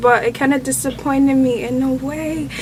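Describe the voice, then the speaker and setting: Noticeable background noise fills the recording. Through it, a woman talks with an American accent. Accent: Nigerian accent adapted toward North American. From Nigeria. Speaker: movie review guest. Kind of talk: casual chat.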